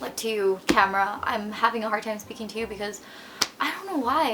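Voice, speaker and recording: A woman's fairly high voice in a Filipino accent, with noticeable background noise. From Philippines. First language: Tagalog. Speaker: vlogger. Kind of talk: unscripted vlog monologue. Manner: halting, with stutters and fillers.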